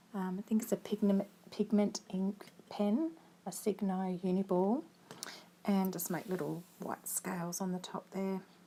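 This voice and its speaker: Her dark, mellow tone is somewhat breathy as the woman speaks at medium pitch and a fairly slow pace with ordinary pitch variation. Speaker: craft tutorial creator. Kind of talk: tutorial. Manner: casual, hesitant with fillers.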